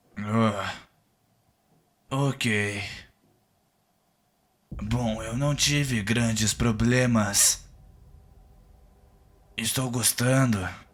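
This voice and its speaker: Using a put-on character voice at medium pitch, a man talks at a very slow pace with long, frequent pauses. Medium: short film. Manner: casual, cagey.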